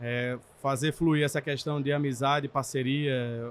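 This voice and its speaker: Speaking at a fairly high pitch, a man uses an ordinary speaking voice with fairly even intonation. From Brazil, Pernambuco (Recife). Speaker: technology director at car dealership group. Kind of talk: podcast interview. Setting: trade event.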